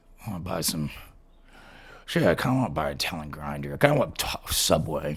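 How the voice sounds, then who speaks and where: A man with an American accent talks at a fairly quick pace, his pitch very deep and low. His intonation is lively and his voice somewhat breathy. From Massachusetts, Worcester area. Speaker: podcast host. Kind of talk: casual chat with reading aloud of stories. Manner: rambling with frequent fillers.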